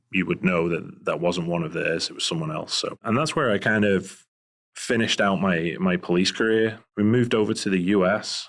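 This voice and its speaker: On a very clean recording with a silent background, a man with a Scouse accent speaks at a fairly low pitch. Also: ordinary pitch variation, moderate pace. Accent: Liverpool (Scouse) English accent, noticeable. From England, Liverpool. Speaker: private investigator, former police officer. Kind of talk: interview conversation. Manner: hesitant, many fillers.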